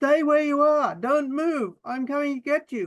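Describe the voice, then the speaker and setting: A woman's high-pitched, put-on character voice at a moderate pace. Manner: sharp, urgent.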